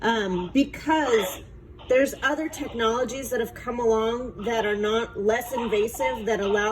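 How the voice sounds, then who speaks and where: A woman's fairly high pitch with ordinary pitch variation at a moderate pace, against noticeable background noise. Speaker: clinical nurse educator. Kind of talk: feedback on student presentation. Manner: casual, hesitant with many fillers.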